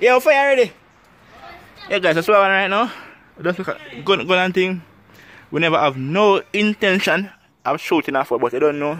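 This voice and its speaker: A man with a Jamaican accent speaks in a high voice at a moderate pace, with very wide pitch swings and long, frequent pauses, in a dry sound with no echo. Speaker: spearfishing video creator. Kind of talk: casual tutorial vlog. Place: garden. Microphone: phone near.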